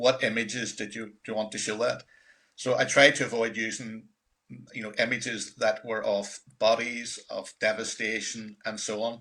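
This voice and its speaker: In a Northern Irish accent, a man delivers a bright, sharp tone with monotone, flat intonation on a very clean recording with a silent background. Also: medium pitch for a man, moderate pace. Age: 60s. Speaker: documentary filmmaker. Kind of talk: panel presentation.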